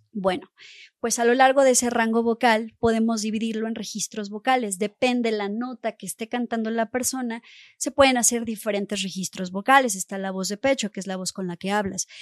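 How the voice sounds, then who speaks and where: A woman's ordinary speaking voice, fairly high in pitch, at a fairly quick pace with fairly even intonation and big swings in loudness, dry and close with no echo over a quiet background. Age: 30s. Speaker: vocal coach. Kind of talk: interview.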